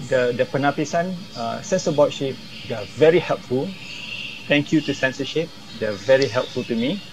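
With a Malaysian accent, a man talks at a fairly quick pace and a fairly high pitch. His pitch varies in an ordinary way, and there is noticeable background noise. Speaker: film director. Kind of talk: interview. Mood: critical, opinionated. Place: home room. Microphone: earbuds.

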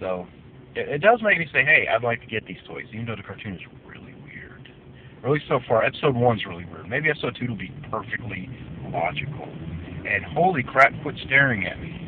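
The sound is dry with no echo, over light background noise. A man talks at a fairly quick pace, his loudness swinging widely. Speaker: cartoon reviewer. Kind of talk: casual vlog chat. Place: car. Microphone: phone near.

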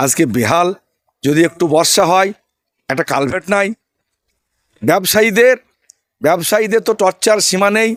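With ordinary pitch variation, a man speaks at a high pitch, the sound dry and close with no echo. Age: 50s. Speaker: election candidate, former police officer. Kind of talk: interview. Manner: emphatic.

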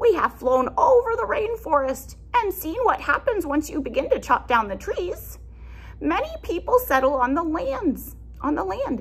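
A woman performs a put-on character voice at an extremely high pitch. Her pitch swings widely while her pace stays moderate.

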